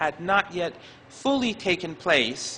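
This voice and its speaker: Through noticeable background noise, a man talks with lively intonation. His pitch is high. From Iran. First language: not English. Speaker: professor. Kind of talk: lecture. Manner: halting.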